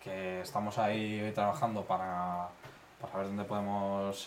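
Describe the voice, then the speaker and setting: Noticeable background noise and audible room echo fill the recording. The speaker is a man. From Spain, Madrid. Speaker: stand-up comedian. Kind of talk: casual chat.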